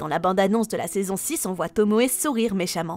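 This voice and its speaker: A woman's voice, dry and close with no echo. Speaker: YouTuber discussing cartoon series. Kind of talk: scripted narration.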